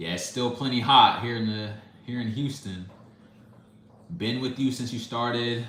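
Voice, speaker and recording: Amid noticeable background noise and audible room echo, a man speaks at medium pitch with ordinary pitch variation. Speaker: music reaction YouTuber. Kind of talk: live stream chat, reading comments. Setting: live stream. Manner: fast.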